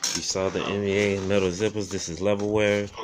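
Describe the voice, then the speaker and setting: Noticeable background noise accompanies a man as he talks. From Florida, US. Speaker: thrift reseller / vlogger; thrift reseller, vlogger. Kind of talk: casual show-and-tell vlog. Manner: fast. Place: home room. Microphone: phone near.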